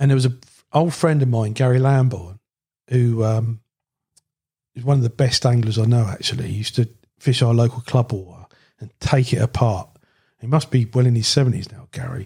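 Somewhat breathy and dark, mellow in tone, a man at a medium pitch talks at a fairly quick pace with fairly even intonation, big swings in loudness, and long, frequent pauses. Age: 60s. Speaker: carp angler. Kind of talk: casual chat. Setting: at guest's home.

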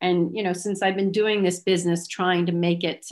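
Her pitch sits fairly low. The woman's intonation stays fairly even. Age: 50s. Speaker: small business owner. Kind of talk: interview. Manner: hesitant, many fillers.

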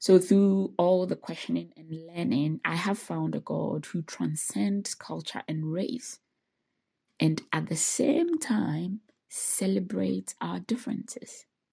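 This woman speaks at a very slow pace, her loudness swinging widely. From Ghana. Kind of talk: solo reflective monologue.

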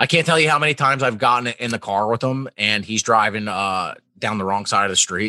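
A man with a Philadelphia accent talks at a fairly quick pace with hardly any pauses, his medium-pitched voice bright and sharp. The sound is dry and close with no echo, on a very clean recording with a silent background. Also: ordinary pitch variation. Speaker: podcast co-host. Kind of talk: casual chat.

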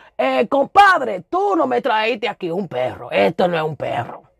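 A woman speaks in an animated tone. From Brooklyn, New York (Williamsburg, Los Sures). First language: Spanish. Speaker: podcast host. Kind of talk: storytelling monologue.

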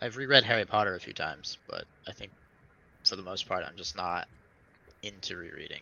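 This man talks at a fairly quick pace in a fairly low pitch, with lively intonation, big swings in loudness and long, frequent pauses. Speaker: fantasy author. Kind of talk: casual chat. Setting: video call. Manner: blunt.

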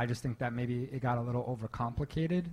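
Somewhat breathy, a man talks at a fairly quick pace. His pitch is medium and varies in an ordinary way. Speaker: membership lead and pitch deck director. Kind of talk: panel feedback.

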